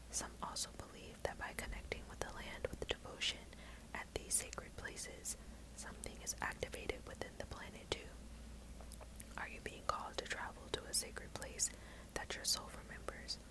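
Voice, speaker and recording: A moderately paced whisper against noticeable background noise. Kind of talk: reading aloud from oracle card guidebook. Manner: whispered.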